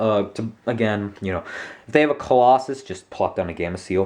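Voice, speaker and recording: Here a man speaks at a fairly quick pace. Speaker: YouTuber presenting a card game deck. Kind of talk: tutorial. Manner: hesitant, many fillers.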